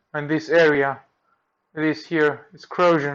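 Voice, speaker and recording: A man with a Greek accent, at a fairly slow pace. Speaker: electronics repair technician. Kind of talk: tutorial. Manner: halting.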